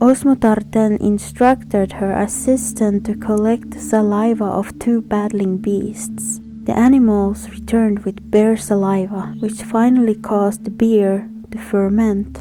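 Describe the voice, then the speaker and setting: A woman speaking at a fairly slow pace over background music. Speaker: narrator. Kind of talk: educational folklore narration. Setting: home recording, poor acoustics.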